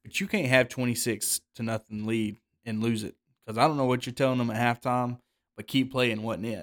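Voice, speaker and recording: On a very clean recording with a silent background and a dry, close sound with no echo, a man in a normal speaking voice speaks at medium pitch, fairly quick pace and fairly even intonation. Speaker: podcast co-host. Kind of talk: casual sports podcast discussion.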